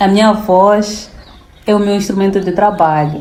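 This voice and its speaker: Audible room echo and noticeable background noise surround the recording. A woman speaks with fairly even intonation. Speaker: public relations lecturer. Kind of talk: interview conversation. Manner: formal.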